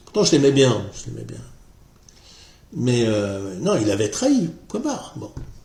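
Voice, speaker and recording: A man talks fairly slowly, with audible echo from the room. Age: 60s. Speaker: political commentary vlogger. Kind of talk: casual monologue vlog. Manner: halting, many hesitations and repetitions.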